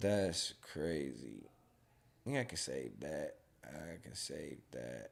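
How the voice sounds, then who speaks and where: This man speaks at a very slow pace in a very deep, low pitch with vocal fry. His pitch swings very widely. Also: big swings in loudness. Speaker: podcast host. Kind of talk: casual chat. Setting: live stream.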